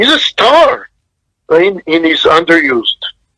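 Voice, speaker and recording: A man with a non-native accent speaks in a dry, close sound with no echo. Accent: foreign. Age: 60s. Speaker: film director. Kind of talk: interview.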